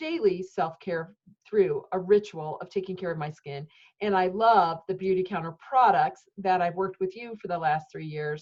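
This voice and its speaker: At a moderate pace, a woman speaks in a normal speaking voice of medium pitch with ordinary pitch variation. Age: 50s. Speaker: podcast host. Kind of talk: interview. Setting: video interview.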